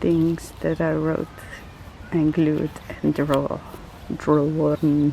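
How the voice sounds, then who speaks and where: A woman speaks at a very slow pace in a Dutch accent. Noticeable background noise runs underneath. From Netherlands. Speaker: art journaling vlogger. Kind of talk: casual vlog. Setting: outdoors in a park. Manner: rambling.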